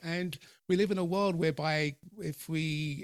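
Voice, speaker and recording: A man with a British accent is recorded with a dry, close sound and no echo. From UK, of Jamaican parents. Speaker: podcast host and personal development coach. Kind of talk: interview. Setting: video call.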